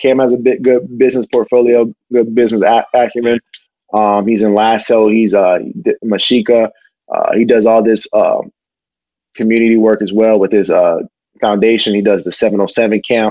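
A man's dark, mellow voice at medium pitch, with fairly even intonation, a moderate pace and very even loudness. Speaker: professional athlete. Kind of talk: casual chat.

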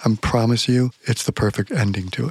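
A man's plain, everyday voice at a medium pitch and fairly quick pace, dry and close with no echo. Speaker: podcast host. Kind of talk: casual chat.

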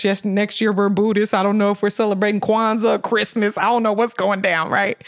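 Over noticeable background noise, a woman with an American accent talks at a fairly quick pace and medium pitch in a monotone, flat intonation. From Sacramento, California. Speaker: mental health first aid responder. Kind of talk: casual interview.

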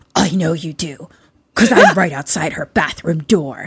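The speaker puts on a raspy character voice with a menacing, sinister tone. The pitch sits in the middle and the pace is moderate.

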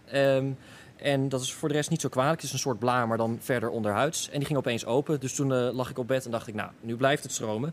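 Talking at a very fast pace, a man holds a medium pitch and a fairly even intonation. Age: 20s. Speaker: kidney donor. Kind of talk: interview.

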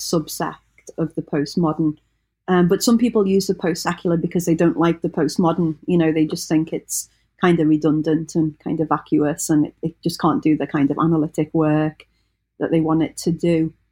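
In a very clean recording with a silent background, a woman speaks with a British accent and a dark, mellow tone. Her pitch is fairly low, her intonation fairly even and her pace fairly quick. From Britain. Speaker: religious studies scholar. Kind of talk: in-depth interview.

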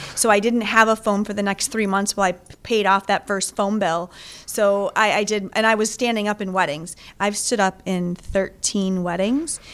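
In a normal speaking voice, a woman talks at a moderate pace in a medium pitch, with fairly even intonation. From Wisconsin, Milwaukee suburbs. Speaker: tourism organization executive. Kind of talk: interview. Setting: office.

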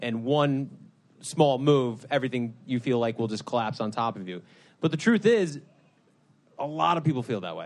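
Intonation is lively at a moderate pace, with long, frequent pauses. The background stays quiet. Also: man, medium pitch for a man. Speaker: event emcee, partner of a host. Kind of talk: live show introduction. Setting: stage with audience.

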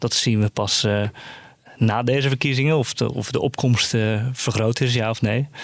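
A man speaks in a normal speaking voice, medium in pitch, at a moderate pace. His loudness stays very even, and his intonation is fairly even. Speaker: journalist. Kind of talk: casual news discussion.

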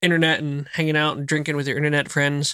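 Delivered at a very fast clip in an American accent, the voice is bright and sharp with flat, monotone intonation, on a very clean recording with a silent background. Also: man. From New Jersey, outside Philadelphia. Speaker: homesteader, whiskey enthusiast. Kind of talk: casual chat.

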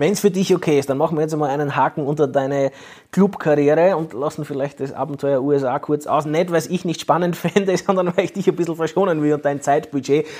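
Delivered at a fairly quick pace with fairly even intonation, this is an unremarkable speaking voice. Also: man, fairly high pitch for a man. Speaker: sports journalist and podcast host. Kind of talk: interview.

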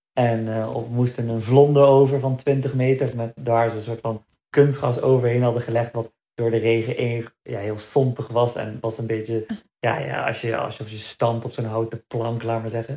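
Monotone and flat, a man's medium-pitched, somewhat breathy voice has a dark, mellow tone and moves at a moderate pace. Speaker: marathon runner. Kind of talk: casual chat.

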